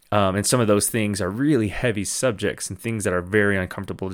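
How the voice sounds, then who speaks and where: On a very clean recording with a silent background, a man with an American accent talks. It's a normal speaking voice, fairly low in pitch with ordinary pitch variation. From Navajo Reservation, US Southwest. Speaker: podcast host. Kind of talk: casual monologue.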